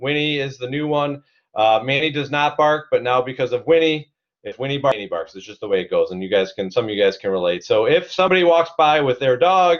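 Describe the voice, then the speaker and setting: A man with an American accent at a very fast pace, fairly high-pitched, energetic in tone, with lively intonation and big swings in loudness. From Cleveland, Ohio. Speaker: CEO and digital marketing instructor. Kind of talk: webinar presentation.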